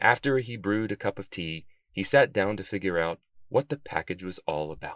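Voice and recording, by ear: Reading aloud in a natural voice with lively intonation against a quiet background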